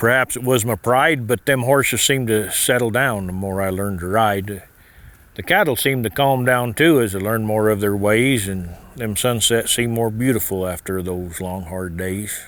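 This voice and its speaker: Delivered at a moderate pace, an ordinary speaking voice in an American accent shows ordinary pitch variation. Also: man, fairly low pitch for a man. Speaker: cattle rancher and cowboy poet. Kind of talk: poetry reading.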